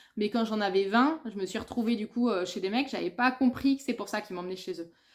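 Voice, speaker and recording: On a very clean recording with a silent background, a woman speaks at a moderate pace in a fairly high pitch with ordinary pitch variation. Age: 30s. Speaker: book and lifestyle vlogger. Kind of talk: casual monologue video. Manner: hesitant, many fillers.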